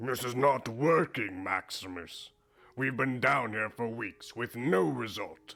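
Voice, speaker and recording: Putting on a raspy character voice at medium pitch, a man speaks at a fairly slow pace. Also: ordinary pitch variation. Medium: machinima. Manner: commanding, grandiose.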